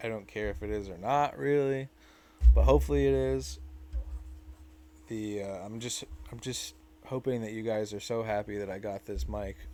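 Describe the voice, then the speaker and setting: With a dark, mellow tone and fairly low pitch, a man speaks at a moderate pace, his pitch swinging very widely and broken by long, frequent pauses. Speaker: 3D printing tutorial maker. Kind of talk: tutorial. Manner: stuttering; casual, halting. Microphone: new mic.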